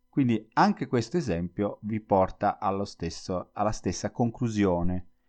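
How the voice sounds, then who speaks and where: Against a quiet background, a man speaks in a fairly low pitch with a dark, mellow tone. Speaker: Italian language teacher podcaster. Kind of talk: solo educational podcast monologue.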